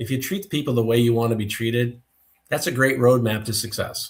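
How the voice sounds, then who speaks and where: On a very clean recording with a silent background, a man speaks at a fairly quick pace, his medium-pitched voice somewhat breathy. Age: 60s. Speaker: business owner, testing equipment expert. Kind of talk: podcast interview.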